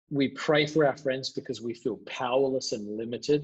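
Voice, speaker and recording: Speaking at a fairly quick pace, a man has an Australian accent and medium pitch. His voice is somewhat breathy. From Adelaide, Australia. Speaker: pastor. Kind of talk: interview answer.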